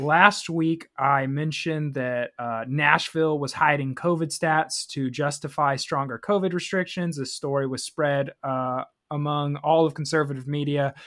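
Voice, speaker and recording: On a very clean recording with a silent background, a man with an unremarkable speaking voice talks at a moderate pace in a fairly high pitch, with fairly even intonation and hardly any pauses. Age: 20s. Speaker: political podcast co-host. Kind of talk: casual political chat.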